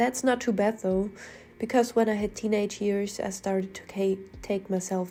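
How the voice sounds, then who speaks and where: A woman has a dark, mellow tone at a medium pitch. She talks at a fairly slow pace with monotone, flat intonation. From Germany. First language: German. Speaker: artist, art commentary youtuber. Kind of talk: casual commentary over speedpaint.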